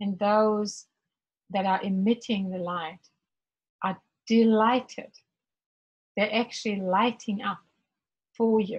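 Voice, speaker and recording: The speaker sounds somewhat breathy, talking at a fairly slow pace with fairly even intonation. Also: woman. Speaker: spiritual workshop facilitator. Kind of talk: guided meditation. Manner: gentle, slow rhythm.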